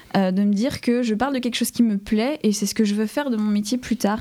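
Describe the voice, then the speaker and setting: Intonation stays fairly even in a dark, mellow tone. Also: woman. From France, Dijon (Burgundy). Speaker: paleontology student. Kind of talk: interview.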